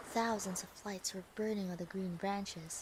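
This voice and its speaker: Noticeable background noise sits behind a woman speaking at a medium pitch. Her pace is moderate. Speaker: vtuber storyteller. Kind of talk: fairy tale reading. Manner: soft-spoken.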